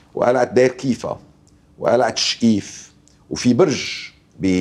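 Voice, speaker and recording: Speaking at a very slow pace, a man uses vocal fry. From Lebanon. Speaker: archaeologist; guest. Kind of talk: TV interview. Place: studio. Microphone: lapel.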